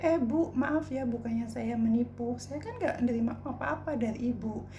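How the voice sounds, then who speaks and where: A woman's voice carries audible room echo, with noticeable background noise around it. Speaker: vlogger. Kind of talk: personal storytelling vlog. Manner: casual, colloquial.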